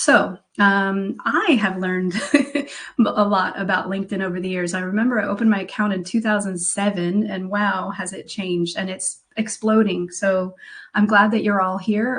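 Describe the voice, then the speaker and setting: A woman speaks at a moderate pace in a plain, everyday voice, her pitch medium. She has an American accent and fairly even intonation. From United States. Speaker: career coach. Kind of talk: webinar presentation.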